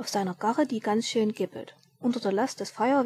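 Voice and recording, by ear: Ordinary pitch variation in a passage of reading aloud in a natural voice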